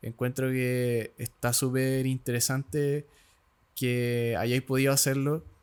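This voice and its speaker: A man speaks in a Chilean accent at a medium pitch. His pace is very slow and his intonation fairly even. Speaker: podcast host. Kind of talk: podcast interview.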